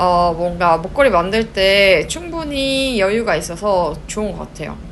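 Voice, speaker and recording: At a very slow pace, a woman with a medium pitch and lively intonation speaks amid audible room echo and noticeable background noise. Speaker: knitting and craft YouTuber. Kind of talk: tutorial. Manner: casual, chatty.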